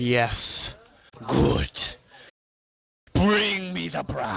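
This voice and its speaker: The speaker uses a resonant, put-on character voice. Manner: grand, ceremonial.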